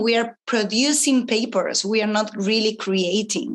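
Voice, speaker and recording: With a non-native accent, a woman speaks at a fairly slow pace and fairly high pitch. Her pitch varies in an ordinary way against a quiet background. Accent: non-native English accent, Spanish-speaking. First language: Spanish. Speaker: astrologer and entrepreneur. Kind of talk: interview conversation. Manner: spontaneous.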